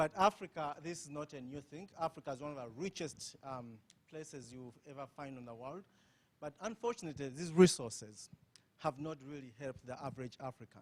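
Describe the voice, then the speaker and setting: A man with a strong Ugandan accent talks at a fairly quick pace and a fairly high pitch with ordinary pitch variation. His loudness swings widely. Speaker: conference panelist. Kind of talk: panel discussion. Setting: conference with audience.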